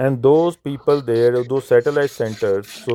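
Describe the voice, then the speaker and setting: A man speaks with a non-native accent in a dark, mellow tone. His pace is fairly slow. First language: not English. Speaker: Sikh speaker in interfaith discussion. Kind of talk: interfaith discussion. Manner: halting.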